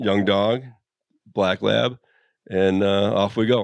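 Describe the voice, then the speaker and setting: At a very slow pace, a man with an American accent speaks in a fairly low pitch with ordinary pitch variation. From Chicago. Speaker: bird hunter. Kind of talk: casual chat. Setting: hunting shack.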